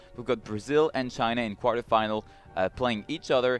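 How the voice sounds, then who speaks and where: Music plays in the background. A man speaks with a French accent. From France. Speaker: esports commentator. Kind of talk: live commentary.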